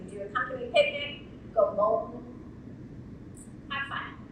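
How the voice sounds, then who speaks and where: Amid noticeable background noise and audible room echo, a woman with a raised, projected voice speaks at a fairly quick pace in a high pitch. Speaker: insurance industry speaker. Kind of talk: conference keynote speech. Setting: stage with audience. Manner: animated.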